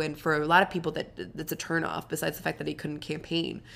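The delivery is very fast and monotone, with flat intonation and vocal fry. The recording is very clean, with a silent background. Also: woman. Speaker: podcast co-host. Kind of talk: casual chat.

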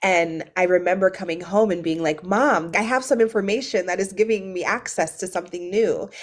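Amid noticeable background noise, a woman talks at a fairly quick pace and medium pitch, with ordinary pitch variation. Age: 30s. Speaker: activist and author. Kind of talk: interview conversation.

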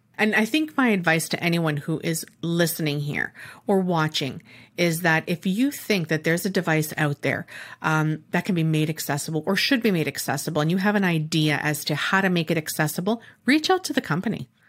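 In a very clean recording with a silent background, a woman with a Canadian accent speaks with a normal speaking voice, fairly low in pitch and with ordinary pitch variation. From Canada. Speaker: podcast host and chef. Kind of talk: interview.

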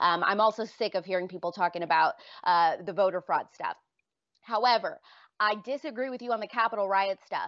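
This is a woman with a normal speaking voice at a medium pitch. She talks at a fairly quick pace with ordinary pitch variation. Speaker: political commentator. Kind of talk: casual debate.

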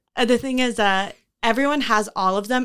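At a moderate pace, a woman speaks with ordinary pitch variation, the sound dry and close with no echo and the recording very clean with a silent background. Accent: American. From Houston, Texas. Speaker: host's fiancée. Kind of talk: casual chat.

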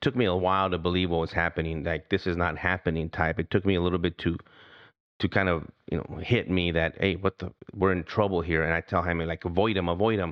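Very fast male speech with fairly even intonation. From US, Mexican-American heritage. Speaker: retired federal agent. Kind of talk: campaign pitch; interview testimony. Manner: halting.

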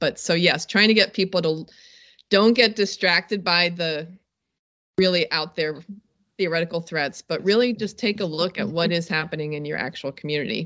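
Bright and sharp in tone, a woman speaks at a fairly low pitch. The background is quiet. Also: ordinary pitch variation, moderate pace. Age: 50s. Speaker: safety expert and documentary producer. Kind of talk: interview.

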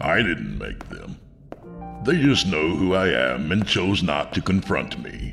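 Putting on a character voice, a man speaks slowly at an extremely low pitch, with vocal fry, big pitch swings and a fairly bright tone, while faint music plays in the background.

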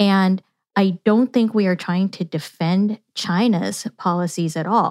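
A woman with a Californian accent speaks at a fairly slow pace and medium pitch, with fairly even intonation, in a dry, close recording with no echo and a silent, very clean background. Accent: Californian American. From Yuba City, rural California. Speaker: political science professor. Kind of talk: interview.

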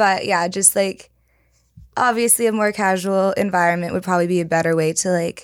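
A woman with an American accent talks at a fairly quick pace and medium pitch in a plain, everyday voice. Her loudness stays very even and her intonation fairly even. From California. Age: 20s. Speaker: singer. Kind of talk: casual chat.

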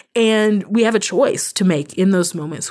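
A woman talks in an ordinary speaking voice. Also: very clean recording, silent background. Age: 30s. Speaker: author and advocate minister. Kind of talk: interview conversation.

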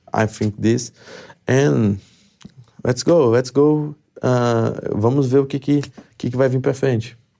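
Medium pitch from a man with a Brazilian accent, fairly even intonation and long, frequent pauses. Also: fairly slow pace. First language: Portuguese. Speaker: mixed martial arts fighter. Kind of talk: interview. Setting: studio. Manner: halting.

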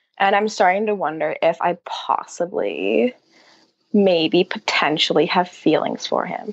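A woman's medium-pitched voice with vocal fry, ordinary pitch variation and a fairly slow pace. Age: 20s. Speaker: caller. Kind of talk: personal question on a call-in show.

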